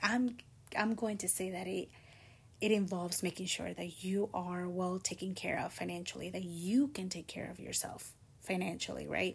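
A woman's somewhat breathy voice at a medium pitch, with fairly even intonation. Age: 20s. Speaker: podcast host. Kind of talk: solo casual talk. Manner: casual, conversational.

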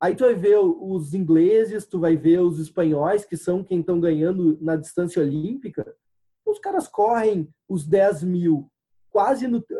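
A man speaks with a dark, mellow tone. His pitch is high for a man, with ordinary pitch variation. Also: fairly slow pace. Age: 30s. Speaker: sports crowdfunding entrepreneur. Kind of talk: interview. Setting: video call.

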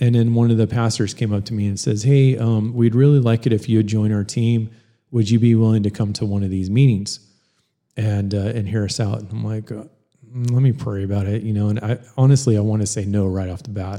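A man speaks with a plain, everyday voice at a fairly quick pace. His pitch sits fairly low, and his intonation stays fairly even. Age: 40s. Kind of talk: casual chat.

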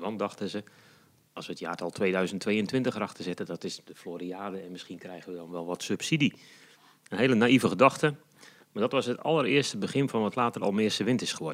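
A man uses an ordinary speaking voice, fairly low in pitch, with lively intonation at a fairly quick pace. The recording is very clean, with a silent background. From Netherlands, Noordoostpolder. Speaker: community energy initiator. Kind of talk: interview.

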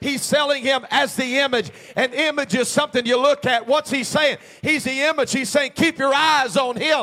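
A man's extremely high voice comes out bright, sharp, raised and projected. He sounds animated and keeps a moderate pace. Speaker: preacher. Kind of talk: sermon. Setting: church. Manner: animated, exhorting call-and-response delivery; fervent, urgent altar-call pleading.

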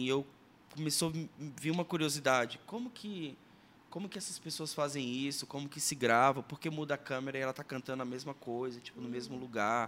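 With a plain, everyday voice, a man speaks at a medium pitch and a fairly quick pace, using ordinary pitch variation. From Sergipe, Brazil. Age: 30s. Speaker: musician and former radio presenter. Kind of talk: podcast interview, personal testimony and teaching.

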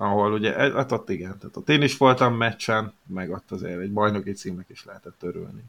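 A man with an ordinary speaking voice and fairly low pitch talks at a fairly quick pace with hardly any pauses, ordinary pitch variation, and big swings in loudness. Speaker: hockey podcast co-host. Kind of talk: casual chat.

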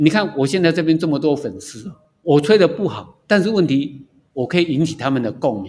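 Speaking at a fairly quick pace, a man uses lively intonation in a fairly high, somewhat breathy voice. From Taiwan, Taipei. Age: 60s. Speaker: retired civil servant, amateur trumpeter. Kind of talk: casual interview. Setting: outdoors.

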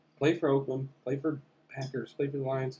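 A somewhat breathy man with a dark, mellow tone and a fairly high pitch. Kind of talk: casual banter, sports talk. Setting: sharing a mic in studio.

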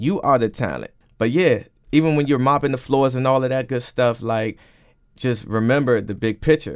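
A man's plain, everyday voice with an American accent, medium pitch, ordinary pitch variation and a moderate pace. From Washington, D.C. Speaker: radio DJ and on-air personality. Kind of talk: radio interview.

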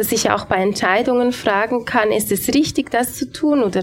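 A woman talks with a plain, everyday voice. She keeps a moderate pace and ordinary pitch variation. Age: 30s. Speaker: pastor. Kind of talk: panel discussion. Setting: live audience in a café.

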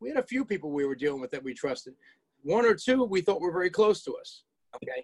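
Recorded with a dry, close sound and no echo, a man speaks very fast at a high pitch, with very wide pitch swings and big swings in loudness. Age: 60s. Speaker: collision repair business owner, podcast co-host. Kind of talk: casual chat, storytelling. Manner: animated.

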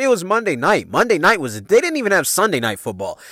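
An animated man with very wide pitch swings, on a very clean recording with a silent background and a dry, close sound with no echo. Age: 40s. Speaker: podcast host. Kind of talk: casual storytelling monologue. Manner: animated, laughing.

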